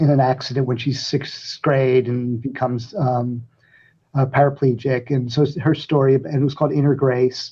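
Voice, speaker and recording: At a moderate pace, a somewhat breathy man with a medium pitch speaks with fairly even intonation. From New Jersey (Elizabeth, urban). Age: 70s. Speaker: playwright. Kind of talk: interview. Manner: halting, many fillers.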